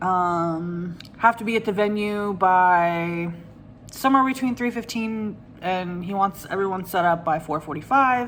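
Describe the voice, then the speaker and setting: A woman's medium pitch, fairly slow pace and ordinary pitch variation. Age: 30s. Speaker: craft vlogger. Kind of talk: casual vlog. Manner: hesitant with many fillers; quiet.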